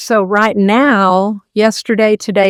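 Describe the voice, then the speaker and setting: A woman speaks at a fairly slow pace in a normal speaking voice of medium pitch. The recording is very clean with a silent background, and the sound is dry and close with no echo. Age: 60s. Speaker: carnivore diet channel host. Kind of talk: interview answer. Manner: casual, conversational.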